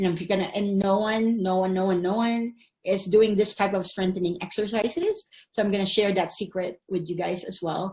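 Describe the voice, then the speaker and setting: Somewhat breathy, a woman talks at a moderate pace with medium pitch and monotone, flat intonation. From Philippines. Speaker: physical therapist. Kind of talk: online summit presentation.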